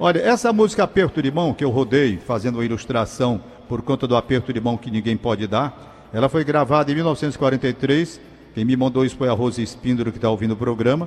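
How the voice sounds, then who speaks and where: The man's medium-pitched voice moves along at a fairly quick pace. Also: ordinary pitch variation. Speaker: radio host. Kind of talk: radio call-in show. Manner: fumbling his words today.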